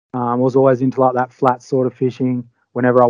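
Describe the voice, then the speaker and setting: A man's voice sits at a medium pitch and carries an Australian accent. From Western Australia (Albany). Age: 30s. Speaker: fly fishing angler. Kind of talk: casual chat.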